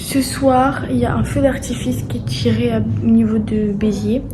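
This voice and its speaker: Noticeable background noise fills the clip. A woman is speaking. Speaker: vlogger. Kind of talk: vlog narration. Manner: whispering.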